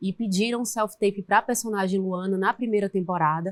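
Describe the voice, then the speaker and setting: Dry and close with no echo, a woman's medium-pitched voice moves at a moderate pace with fairly even intonation. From Maranhão, northeastern Brazil. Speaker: actress. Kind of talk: interview.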